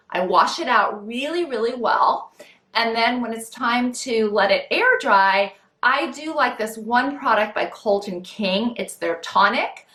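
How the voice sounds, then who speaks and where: A woman with an unremarkable speaking voice talks at a fairly slow pace, her pitch fairly high and its variation ordinary. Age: 50s. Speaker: style vlogger. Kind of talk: tutorial. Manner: casual, friendly.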